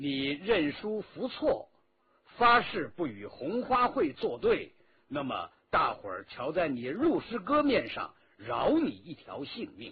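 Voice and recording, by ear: A man puts on a character voice, fairly high-pitched, with a husky, rough edge. His pitch swings very widely and his pace is slow.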